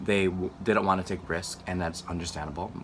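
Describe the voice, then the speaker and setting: Rather fast talking against clearly audible background noise. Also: man. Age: 20s. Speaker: vlogger. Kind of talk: casual vlog monologue. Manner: animated.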